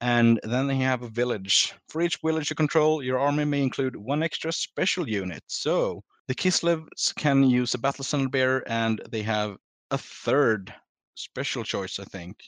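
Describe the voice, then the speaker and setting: An ordinary speaking voice from a man at medium pitch and moderate pace, with ordinary pitch variation and a dry, close sound with no echo. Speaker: podcast co-host. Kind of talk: casual hobby podcast chat.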